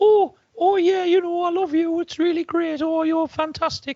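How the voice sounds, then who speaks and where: A squeaky put-on character voice at an extremely high pitch moves along at a moderate pace. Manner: gushing, effusive.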